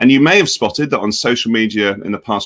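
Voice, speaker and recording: A man with a British accent speaks in a bright, sharp tone. The recording is very clean and dry, close-miked with no echo against a silent background. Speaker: edtech company education executive. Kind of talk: software tutorial demonstration. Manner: casual, conversational.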